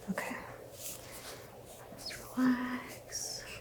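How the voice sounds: Whispering at a very slow pace, a woman speaks.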